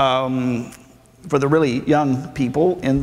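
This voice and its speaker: A man with a Southern US accent, very slow in pace, with ordinary pitch variation. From Arkansas, US South. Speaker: preacher and Bible professor. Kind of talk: sermon. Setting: church with audience. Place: church. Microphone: lapel.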